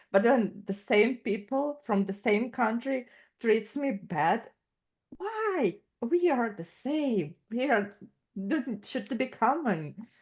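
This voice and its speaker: In a Russian accent, a woman speaks very slowly, her pitch fairly high and her intonation lively. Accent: Russian-sounding. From Ukraine. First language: Ukrainian or Russian. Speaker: student. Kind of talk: class discussion.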